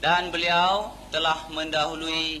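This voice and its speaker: A man talks with ordinary pitch variation. Noticeable background noise can be heard throughout. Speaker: event emcee introducing the speaker. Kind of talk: formal introduction.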